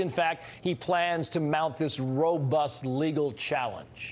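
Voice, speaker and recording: A man with a plain, everyday voice. His pitch sits fairly high and varies in an ordinary way. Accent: American. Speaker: news anchor. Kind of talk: television news anchor interview.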